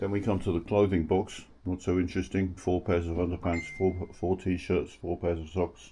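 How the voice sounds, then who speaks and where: In an English accent, a man speaks with a very deep, low pitch and monotone, flat intonation at a moderate pace, with hardly any pauses. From England. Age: 60s. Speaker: travel vlogger. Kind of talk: casual vlog narration. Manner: halting, with many fillers.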